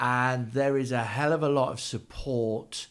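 The speaker talks at a moderate pace with ordinary pitch variation. The recording is very clean, with a silent background. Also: man. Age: 40s. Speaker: university business engagement manager and entrepreneur. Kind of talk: casual interview chat. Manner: animated, energetic; hesitant restarts, repeated words.

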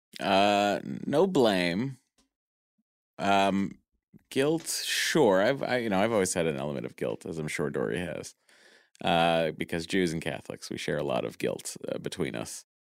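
A man speaks at a fairly slow pace in a very deep, low voice with vocal fry and very wide pitch swings, on a very clean recording with a silent background. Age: 30s. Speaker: podcaster going through IVF. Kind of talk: casual interview. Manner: hesitant with fillers.

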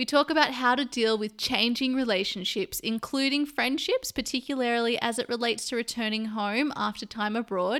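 A woman speaks with an Australian accent in a bright, sharp tone at a fairly high pitch. Her pitch varies in an ordinary way, and the recording is very clean with a silent background. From Sydney, Australia. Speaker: podcast host. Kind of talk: casual interview chat.

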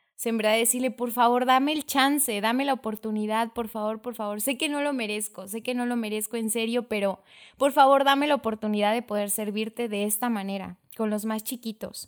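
A woman with a normal speaking voice talks at a fairly quick pace and a fairly high pitch, with fairly even intonation. The recording is very clean, the background silent. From Mexico, Chiapas (Tuxtla Gutiérrez). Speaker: children's catechist and lawyer. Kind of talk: casual chat.

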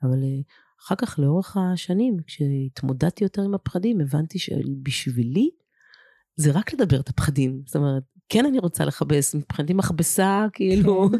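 This woman speaks at a fairly low pitch with a dark, mellow tone. The sound is dry and close, with no echo. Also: lively intonation, moderate pace. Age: 40s. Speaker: courage consultant and lecturer. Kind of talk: interview.

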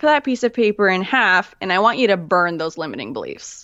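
A woman speaks at a medium pitch. It is a plain, everyday voice. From Manitoba, Canada. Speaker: clarity coach and podcaster. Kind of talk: casual interview chat.

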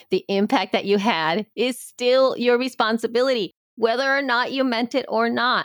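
On a very clean recording with a silent background, a woman speaks high-pitched with very even loudness and hardly any pauses, the sound dry and close with no echo. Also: ordinary pitch variation, moderate pace. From El Salvador. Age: 50s. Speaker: podcaster. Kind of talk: panel discussion.

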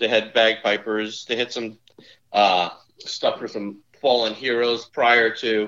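Speaking with a New Jersey accent, a man keeps a medium pitch and fairly even intonation. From northern New Jersey. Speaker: insurance executive and former college golfer. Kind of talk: casual interview chat.

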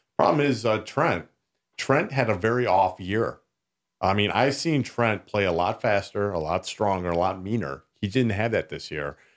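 Over a very clean recording with a silent background, a man with an ordinary speaking voice talks at a moderate pace. His fairly low pitch carries lively intonation. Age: 40s. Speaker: amateur hockey player, backup guest. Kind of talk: casual chat.

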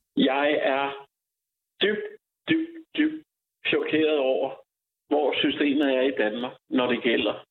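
A man speaks at a very slow pace, leaving long, frequent pauses. His loudness stays very even. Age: 60s. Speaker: unemployed IT developer facing eviction. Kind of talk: interview. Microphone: echo in empty room.

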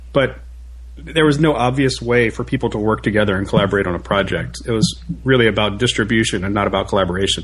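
A man speaks very fast in a fairly low pitch, his voice showing vocal fry. His pitch swings very widely. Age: 30s. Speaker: tech operations engineer. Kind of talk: casual chat. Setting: podcast interview.

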